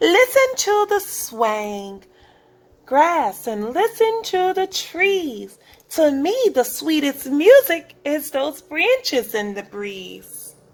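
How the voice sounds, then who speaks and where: In a put-on character voice, a woman speaks very slowly in a high, squeaky register with a gentle, warm tone and very wide pitch swings. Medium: read story.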